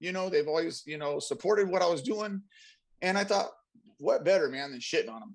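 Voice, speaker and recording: A high-pitched male voice with lively intonation at a fairly quick pace. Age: 40s. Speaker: car audio show co-host, tattoo artist. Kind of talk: casual chat.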